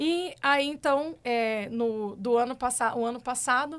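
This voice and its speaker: A high-pitched woman with a Minas Gerais accent, on a very clean recording with a silent background. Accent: drawling mineiro. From Minas Gerais, Triângulo Mineiro (Brazil). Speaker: agronomist and cattle rancher. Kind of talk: podcast interview. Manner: casual, chatty.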